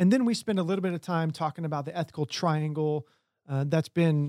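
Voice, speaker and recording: A man's ordinary speaking voice at a fairly high pitch, fairly quick in pace with ordinary pitch variation, in a dry, close sound with no echo and a very clean recording with a silent background. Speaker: army chaplain and ethics instructor. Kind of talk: podcast interview.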